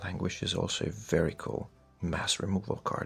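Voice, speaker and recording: A soft-spoken man is talking. Music plays in the background. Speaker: card collector youtuber. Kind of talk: show-and-tell commentary.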